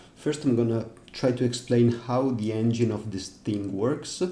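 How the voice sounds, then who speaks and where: In a room with audible echo, a man speaks with a somewhat breathy, dark, mellow tone. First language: not English. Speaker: music software developer. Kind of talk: tutorial. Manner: halting, with fillers.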